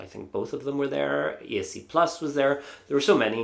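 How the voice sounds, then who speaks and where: Audible room echo surrounds a man speaking with an Irish accent. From Ireland. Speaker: Eurovision YouTuber. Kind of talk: casual vlog review. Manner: hesitant, many fillers.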